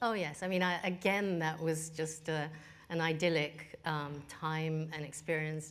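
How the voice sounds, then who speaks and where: A woman with a Japanese accent speaks at a fairly slow pace in a very deep, low pitch. Room echo is audible. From Australia and England, Japanese family. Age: 50s. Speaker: business executive. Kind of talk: interview.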